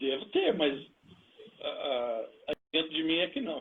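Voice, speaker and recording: A man is speaking. His pace is very slow. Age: 60s. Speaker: pastor. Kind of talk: interview testimony. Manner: halting.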